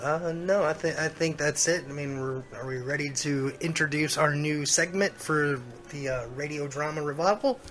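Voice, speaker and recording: Over music in the background, a man with a fairly high pitch talks at a moderate pace with fairly even intonation and hardly any pauses. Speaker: radio show co-host. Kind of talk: casual radio talk.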